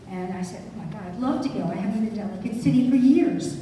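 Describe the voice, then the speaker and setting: A woman talks at a fairly high pitch with ordinary variation, her voice carrying audible room echo amid noticeable background noise. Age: 80s+. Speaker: antiques dealer sharing local memories. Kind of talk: personal reminiscence at a community event. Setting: museum event with live audience.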